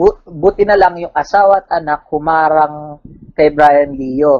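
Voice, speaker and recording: Moderate speed from a male speaker, the surroundings quiet. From Philippines. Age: 20s. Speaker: wrestling fan; podcast guest. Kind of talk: casual interview. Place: home room. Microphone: video call.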